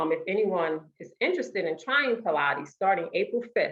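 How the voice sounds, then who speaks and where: Speaking at a moderate pace and a medium pitch, a woman has an unremarkable speaking voice. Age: 40s. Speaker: fitness and Pilates instructor. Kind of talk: conference presentation. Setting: video call. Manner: casual, conversational.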